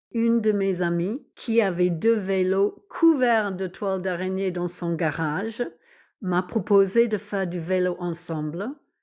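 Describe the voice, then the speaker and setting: In a very clean recording with a silent background, a woman speaks at a very slow pace, her medium pitch varying in an ordinary way. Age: 60s. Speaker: retiree cyclist. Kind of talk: testimony.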